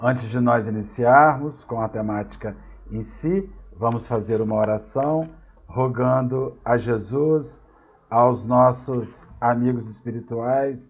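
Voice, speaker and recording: In a room with audible echo, a man speaks very slowly in a somewhat breathy voice. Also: medium pitch for a man, fairly even intonation. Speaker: spiritist lecturer. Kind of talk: lecture. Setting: live online stream. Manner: halting. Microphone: unstable internet connection.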